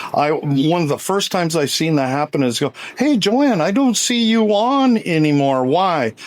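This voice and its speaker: Against noticeable background noise, a man with a high pitch talks at a moderate pace with hardly any pauses, very wide pitch swings and very even loudness. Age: 70s. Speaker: social media personality. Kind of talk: interview conversation. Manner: animated.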